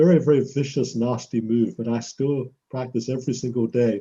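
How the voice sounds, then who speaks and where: A man speaks at a moderate pace and medium pitch, his dark, mellow voice somewhat breathy with fairly even intonation. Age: 70s. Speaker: professor and karate practitioner. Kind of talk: interview answering a child's questions.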